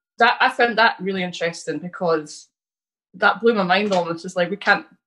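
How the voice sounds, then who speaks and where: Fairly quick and bright, sharp in tone, a woman with a Scottish accent speaks at a medium pitch with ordinary pitch variation. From Scotland, near Stirling and the Highlands. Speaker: immigrant interviewee. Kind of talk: casual interview.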